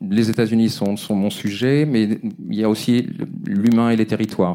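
A man speaks in a fairly low voice with ordinary pitch variation. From Brittany, France. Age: 50s. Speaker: photographer. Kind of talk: interview. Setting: live recording with audience. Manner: halting.

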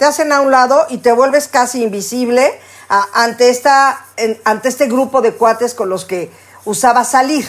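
A woman speaks at a moderate pace. Her pitch is high, with ordinary pitch variation. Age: 60s. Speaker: podcast co-host. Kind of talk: casual chat.

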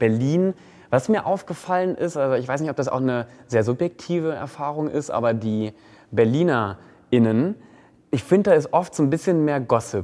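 Against a quiet background, a man speaks at a fairly high pitch with a dark, mellow tone. His intonation is lively and his pace moderate. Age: 20s. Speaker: influencer and presenter. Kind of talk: casual chat.

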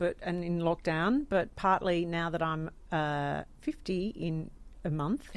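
Female speech in an Australian accent. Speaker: radio host. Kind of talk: casual chat.

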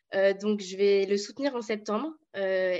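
In a quiet background, the woman's voice holds at a medium pitch. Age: 20s. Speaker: sociology student. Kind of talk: political discussion.

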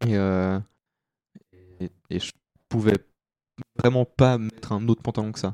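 At a fairly slow pace with long, frequent pauses, a man speaks in a fairly low, dark, mellow voice with fairly even intonation and big swings in loudness, the sound dry and close with no echo. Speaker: podcast guest sharing life story. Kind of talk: personal testimony. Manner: hesitant, many fillers.

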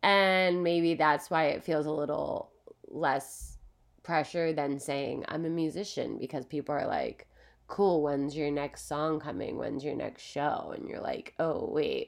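In a very clean recording with a silent background, a woman talks at a fairly slow pace with an American accent. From Philadelphia, US. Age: 30s. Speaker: podcast host. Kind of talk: solo podcast monologue. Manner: animated.

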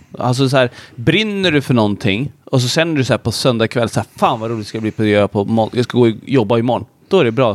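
Recorded very cleanly with a silent background and a dry, close sound with no echo, a man with an ordinary speaking voice talks at a medium pitch and a fairly quick pace with ordinary pitch variation. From Sweden, Södertälje. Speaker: entrepreneur. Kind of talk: casual chat.

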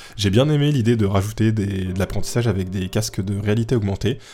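Somewhat breathy, a man talks at a fairly quick pace with a fairly low pitch and a dark, mellow tone. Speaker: podcast host. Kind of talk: casual explainer monologue. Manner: hesitant with many fillers.

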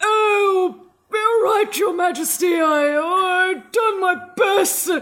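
An extremely high-pitched, put-on character voice shouts. It moves at a very slow pace. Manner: put-on, theatrical.

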